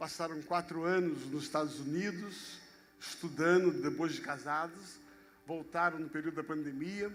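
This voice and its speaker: In a room with audible echo, a man speaks at a high pitch with monotone, flat intonation. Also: moderate pace. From Brazil, Rio de Janeiro. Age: 60s. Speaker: pastor. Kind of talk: sermon.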